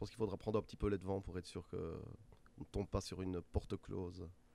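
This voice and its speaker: A man is speaking here. His pace is fairly quick. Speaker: music festival organizer. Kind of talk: interview.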